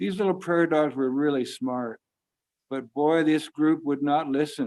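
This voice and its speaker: This man has an ordinary speaking voice. His pitch is fairly high, with ordinary pitch variation. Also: moderate pace. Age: 60s. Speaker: storyteller. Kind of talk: storytelling. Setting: video call.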